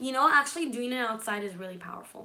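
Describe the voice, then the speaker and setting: A woman at a very fast pace, amid noticeable background noise and audible room echo. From Israel and California. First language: Hebrew. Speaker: manifestation and law of attraction YouTuber. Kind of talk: live stream chat with viewers. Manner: casual, chatty.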